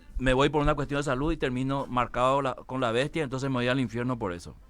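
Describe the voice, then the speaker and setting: With music in the background, a man at a medium pitch speaks at a fairly quick pace with fairly even intonation. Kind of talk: guest explaining a religious view in a talk show interview.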